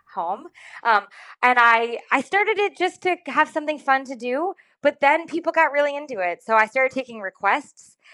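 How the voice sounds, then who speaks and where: Raising and projecting her voice, a woman speaks at a moderate pace in a high, bright, sharp tone with very wide pitch swings. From Rhode Island. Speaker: jazz vocalist. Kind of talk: radio interview.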